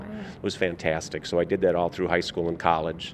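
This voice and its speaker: A very deep, low-pitched man with an Upper Midwest US accent and fairly even intonation. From Minnesota, St. Paul. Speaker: state fair general manager. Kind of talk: interview. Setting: convention booth.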